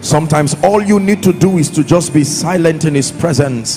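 Music in the background behind a man at a moderate pace. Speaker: preacher. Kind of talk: sermon. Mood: soft, prayerful, meditative. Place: church. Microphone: handheld.

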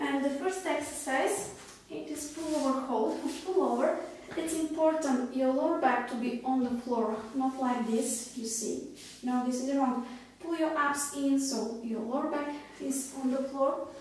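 Strong room echo surrounds this woman's high-pitched voice. She speaks at a fairly slow pace. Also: ordinary pitch variation. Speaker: fitness instructor. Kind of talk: tutorial. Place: home room. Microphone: camera far.

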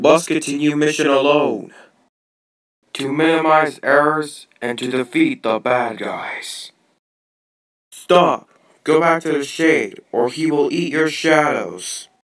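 A man puts on a character voice at a fairly high pitch. He talks at a fairly slow pace, with long, frequent pauses. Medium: role play. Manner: stiff, flat, mechanical.

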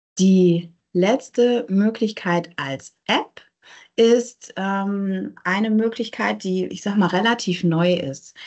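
Very slowly, a woman speaks with ordinary pitch variation. Behind her the background is quiet. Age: 30s. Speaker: neuropsychologist; presenter. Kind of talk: lecture. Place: home room. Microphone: video call.

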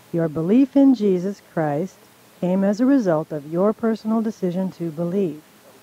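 The voice moves at a moderate pace in a dry sound with no echo. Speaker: radio co-host and Bible teacher. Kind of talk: playful quiz reading. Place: studio.

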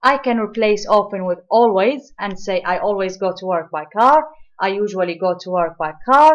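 A woman speaks at medium pitch with lively intonation. Her pace is moderate. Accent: Arabic. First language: Arabic. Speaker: English teacher. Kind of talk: lecture.

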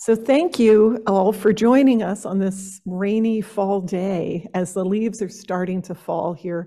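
A woman's fairly slow speech in an American accent, dark and mellow in tone, with fairly even intonation and a quiet background. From New Jersey. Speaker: horticulturist and master gardener. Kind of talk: workshop presentation. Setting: stage with audience. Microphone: podium.

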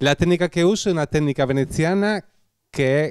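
Here a man with a Spanish accent talks in a fairly high voice with lively intonation at a moderate pace. The sound is dry with no echo, against a quiet background. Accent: Spanish accent in Italian. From Spain, Bilbao (Basque Country); Basque Country, Spain. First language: Spanish (speaking Italian). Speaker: glassblower artisan. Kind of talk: product presentation interview. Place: shop. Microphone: handheld.

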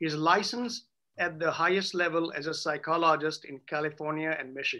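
A man with a high, bright, sharp voice talks at a moderate pace with ordinary pitch variation. The background is quiet. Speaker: attorney moderating a Q&A. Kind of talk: introduction of speakers, read biography. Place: office. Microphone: video call.

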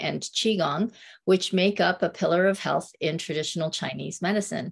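Moderate pace, vocal fry and fairly even intonation over a quiet background. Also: woman. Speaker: tai chi and qigong instructor. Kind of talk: interview host. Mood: warm, smiling. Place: home room. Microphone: phone near.

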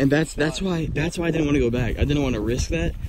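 A man at a fairly quick pace over loud background noise, the sound dry with no echo. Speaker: vlogger. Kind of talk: casual vlog chat. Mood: nervous excitement. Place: open country. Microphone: phone near.

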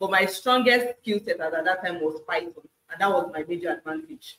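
Her intonation is lively as the woman speaks. Audible room echo surrounds the voice. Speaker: data analyst. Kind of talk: interview. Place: home room.

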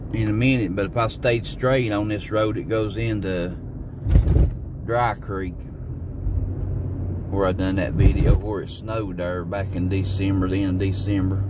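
Over loud background noise and a dry sound with no echo, the speech moves at a moderate pace broken by long, frequent pauses. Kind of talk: casual vlog chat. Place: car. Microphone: phone near.

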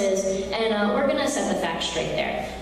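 Strong room echo surrounds a woman's voice, with light background noise underneath. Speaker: conference speaker. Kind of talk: political speech. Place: hall. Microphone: podium.

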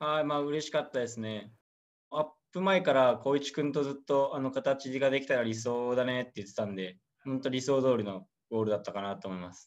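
A man at a fairly quick pace, with big swings in loudness and ordinary pitch variation, over a quiet background. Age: 20s. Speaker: professional footballer. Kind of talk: interview; interview answer. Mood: calm, modest. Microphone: video call.

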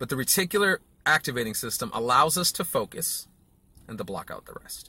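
At a fairly quick pace, a man speaks in a bright, sharp tone with a dry sound and no echo. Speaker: marketing coach. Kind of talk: casual vlog lecture. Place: car. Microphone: phone near.

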